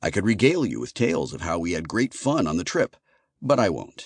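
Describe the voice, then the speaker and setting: A man speaks at a fairly quick pace with vocal fry. The background is quiet. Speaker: audiobook narrator. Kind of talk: audiobook narration, first-person sci-fi. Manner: sarcastic, wry, conversational.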